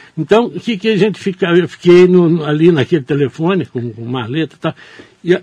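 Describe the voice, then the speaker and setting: In an ordinary speaking voice, a man talks at a fairly high pitch with lively intonation. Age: 60s. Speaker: newspaper editor and journalist. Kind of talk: radio interview. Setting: radio studio.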